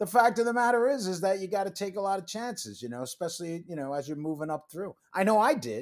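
Talking at a very fast pace with hardly any pauses, a man uses a high pitch and lively intonation. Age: 50s. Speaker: veterans' career nonprofit executive, former Marine and stockbroker. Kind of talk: casual interview.

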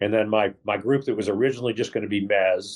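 A man with an American accent speaks at a fairly low pitch and a fairly quick pace against a quiet background. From Texas. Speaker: real estate investor. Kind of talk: interview. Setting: airport lounge, remote call.

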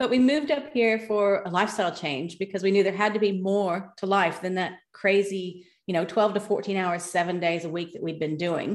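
Talking with hardly any pauses, a woman with an Australian accent shows ordinary pitch variation. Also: medium pitch for a woman, moderate pace. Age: 50s. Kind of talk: casual interview.

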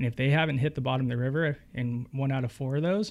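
An unremarkable speaking voice with an American accent, fairly quick and fairly even in intonation. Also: man. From Northern California (Winters, CA). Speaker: fly fishing guide. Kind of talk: casual interview chat.

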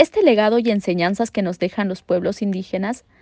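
Dry and close with no echo, this woman's dark, mellow voice sits at medium pitch over a quiet background. She moves at a moderate pace with ordinary pitch variation. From Peru. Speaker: development worker. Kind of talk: prepared recorded statement.

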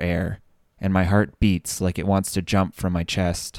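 In a very clean recording with a silent background and a dry, close sound free of echo, a man speaks fairly slowly in a very deep, low, flat monotone. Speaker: fiction author narrator. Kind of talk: dramatic first-person narration of fantasy fiction, then a brief personal sign-off. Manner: hushed, tense, suspenseful narration with measured pacing.

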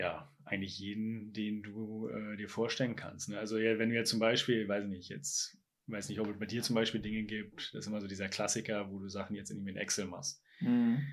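A man's normal speaking voice, fairly low in pitch, fairly quick, with fairly even intonation and hardly any pauses. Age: 20s. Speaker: software company founder. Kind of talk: interview.

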